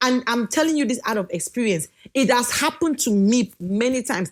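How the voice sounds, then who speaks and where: Pitch rises and falls across a very wide range. Delivery holds a moderate pace. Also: woman. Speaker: speaker giving marriage advice to wives. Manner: loud, can sound like shouting when excited.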